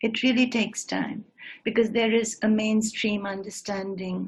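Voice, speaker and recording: Her voice is fairly high and somewhat breathy. The woman speaks at a fairly slow pace. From northeast India (Shillong). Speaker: singer and writer. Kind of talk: lecture demonstration. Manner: halting.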